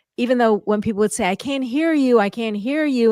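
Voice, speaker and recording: Recorded very cleanly against a silent background, a woman speaks with lively intonation in a dry, close sound with no echo. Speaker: communication coach and host. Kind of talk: interview conversation.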